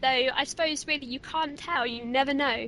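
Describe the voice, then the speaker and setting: A raised, projected voice at a moderate pace with ordinary pitch variation. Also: woman. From southern England. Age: 20s. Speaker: podcast co-host and ghost hunter. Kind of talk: casual interview chat.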